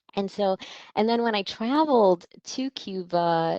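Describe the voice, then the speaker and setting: Against a quiet background, a woman talks with ordinary pitch variation in a dry, close sound with no echo. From Miami, Cuban-American family. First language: Spanish. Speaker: panelist. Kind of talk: panel discussion. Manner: halting.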